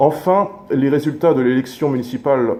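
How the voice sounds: Audible room echo surrounds a man's dark, mellow tone, which has ordinary pitch variation.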